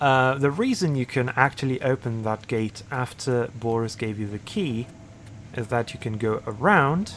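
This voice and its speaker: Music plays behind a man who talks at a medium pitch and a fairly slow pace. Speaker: gaming video creator. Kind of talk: let's play commentary. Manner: hesitant, many fillers; lowered voice.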